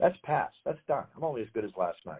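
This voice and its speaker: A man talking at a very fast pace. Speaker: sports ring announcer. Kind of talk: interview answer.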